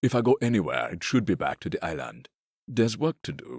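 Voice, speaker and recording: A man performs a put-on character voice at medium pitch, with big swings in loudness. He moves at a fairly quick pace, and the sound is dry and close with no echo. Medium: audio drama. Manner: hesitant.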